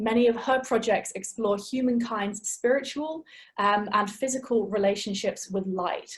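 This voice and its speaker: Somewhat breathy and fairly high in pitch, a woman with an English accent speaks at a moderate pace with ordinary pitch variation. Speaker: webinar host and curator. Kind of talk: event introduction.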